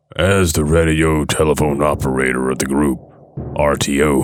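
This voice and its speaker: Speaking at a moderate pace, a man has a very deep, low pitch. His intonation is monotone and flat. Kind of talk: horror narration. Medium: read story. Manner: urgent, grave.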